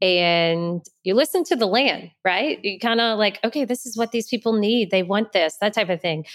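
An ordinary speaking voice moves at a moderate pace with hardly any pauses, lively intonation and a dry, close sound with no echo. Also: woman, medium pitch for a woman. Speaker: podcast host. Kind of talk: casual interview chat.

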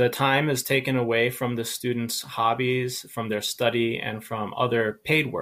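A man with an American accent speaks fairly slowly at medium pitch, with hardly any pauses. His tone is bright and sharp, his intonation monotone and flat. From USA. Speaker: English teacher. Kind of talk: lecture. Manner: measured, clear delivery.

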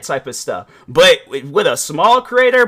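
A man's extremely high-pitched voice, raised and projected. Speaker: podcast host and reaction video creator. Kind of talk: casual, slangy. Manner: naturally loud.

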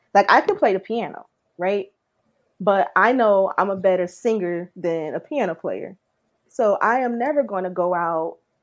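A woman talks at a moderate pace with lively intonation. The recording is very clean, with a silent background. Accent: New Jersey. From Newark, New Jersey. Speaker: R&B/soul singer-songwriter. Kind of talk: casual interview chat.

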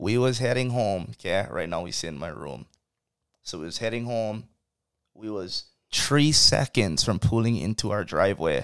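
A man's fairly low voice with vocal fry and lively intonation, at a fairly slow pace with long, frequent pauses and big swings in loudness, on a very clean recording with a silent background. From Hawaii, Kauai. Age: 20s. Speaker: podcast host. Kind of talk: casual chat.

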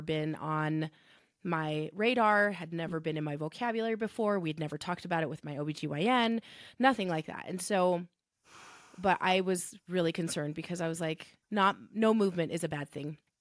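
A woman speaks in a plain, everyday voice at a fairly low pitch and moderate pace, with ordinary pitch variation. The recording is very clean, with a silent background. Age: 40s. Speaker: pharmacist and bereaved mother. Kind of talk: personal testimony in interview.

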